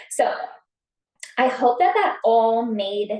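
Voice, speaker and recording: A woman's voice at a high pitch. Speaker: network marketing team member. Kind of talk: team meeting on video call. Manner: fast.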